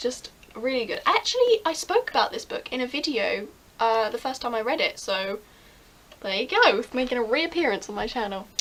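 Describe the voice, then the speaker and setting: Speaking at a moderate pace with an English accent, a woman uses a high-pitched voice. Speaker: book vlogger. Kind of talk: casual vlog. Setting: bedroom at night. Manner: animated.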